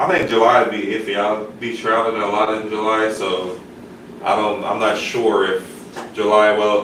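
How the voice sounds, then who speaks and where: Amid noticeable background noise and audible room echo, a man of medium pitch speaks at a moderate pace. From Jamaica. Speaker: bourbon YouTuber. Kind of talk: casual chat on livestream. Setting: live stream.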